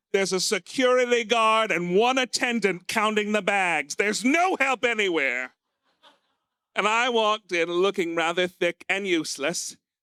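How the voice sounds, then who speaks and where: A man's raised, projected voice with an American accent, high-pitched and bright, sharp in tone, lively in intonation at a moderate pace, very even in loudness, in a dry, close, very clean recording with no echo and a silent background. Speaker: stand-up comedian. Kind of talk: stand-up. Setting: stage with audience.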